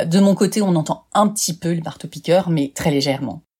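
At a moderate pace, a woman speaks with lively intonation. Her voice is somewhat breathy. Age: 50s. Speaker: life coach and podcaster. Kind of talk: podcast self-presentation. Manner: upbeat.

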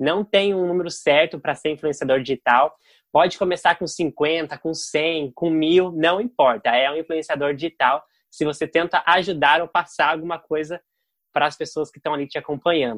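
In an ordinary speaking voice, a man talks at a fairly high pitch with ordinary pitch variation, the sound dry and close with no echo and the background quiet. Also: moderate pace. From Brazil, Curitiba. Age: 20s. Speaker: digital influencer. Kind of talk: interview.

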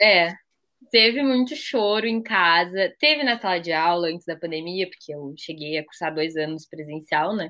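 Speaking at a moderate pace, a woman has an ordinary speaking voice, fairly low pitch and lively intonation. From southern Brazil, Pelotas. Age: 20s. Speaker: podcast co-host, university student. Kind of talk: casual chat.

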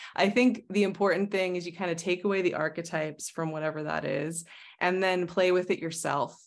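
Over a quiet background, a woman with an American accent and an unremarkable speaking voice talks at a fairly quick pace in a fairly low pitch with fairly even intonation. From Arizona, US. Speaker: astrologer and tarot reader. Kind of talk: casual interview conversation.

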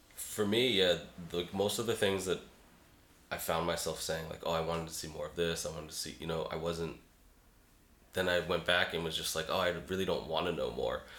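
A man with an American accent and a very deep, low pitch, fairly even intonation, and long, frequent pauses. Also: fairly quick pace. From Boston, US Northeast. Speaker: graphic designer and illustrator. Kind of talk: casual chat.

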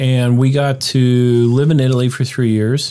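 On a very clean recording with a silent background, a man with an American accent speaks very slowly at a medium pitch. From Pittsburgh, Pennsylvania. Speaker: doctor and winemaker. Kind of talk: casual interview.

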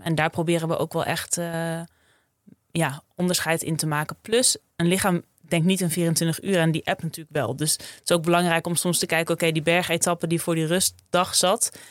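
A woman with an ordinary speaking voice talks at a moderate pace in a fairly low pitch with fairly even intonation, in a dry, close sound with no echo and a very clean recording with a silent background. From Friesland, Netherlands. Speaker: sports dietitian. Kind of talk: interview.

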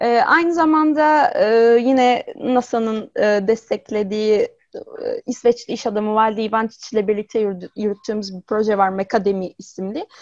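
A woman with an unremarkable speaking voice talks at a moderate pace, at a fairly high pitch with ordinary pitch variation. The sound is dry and close with no echo. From Izmir, Turkey. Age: 20s. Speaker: robot psychologist. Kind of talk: interview.

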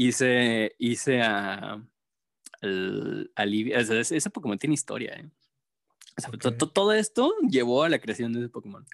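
In a normal speaking voice, a man of medium pitch talks at a fairly slow pace with ordinary pitch variation, and the sound is dry and close with no echo. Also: big swings in loudness. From Mexico, Jalisco (raised in Guadalajara area, born in Durango). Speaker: graphic artist. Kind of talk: casual chat.

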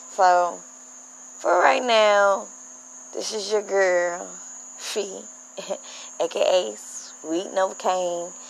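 A woman's voice carries an audible room echo. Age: 30s. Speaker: podcast host. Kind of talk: casual monologue. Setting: outdoors. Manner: animated.

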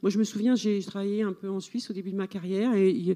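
The voice is a woman's, dark and mellow in tone. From France, rural farming background. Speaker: novelist. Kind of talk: literary panel discussion. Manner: halting, repetitive.

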